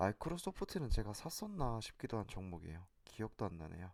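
On a very clean recording with a silent background, an unremarkable speaking voice carries lively intonation at a moderate pace. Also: man. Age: 30s. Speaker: amateur stock investor, vlogger. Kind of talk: personal vlog monologue.

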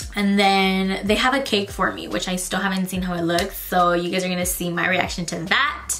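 Light noise sits behind a woman who talks at a moderate pace. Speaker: vlogger. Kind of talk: casual vlog chat. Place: home room.

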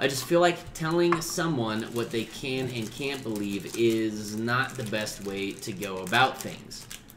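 A man talks at a fairly slow pace. Audible room echo surrounds his voice. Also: fairly low pitch for a man, ordinary pitch variation.

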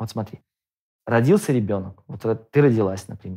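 A man's fairly low voice at a fairly quick pace, with ordinary pitch variation over a quiet background. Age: 30s. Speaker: father of a large polygamous family. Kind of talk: debate; debate argument, conversational. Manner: halting. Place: studio.

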